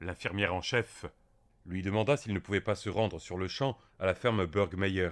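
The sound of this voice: An unforced reading voice carries the words with fairly even intonation.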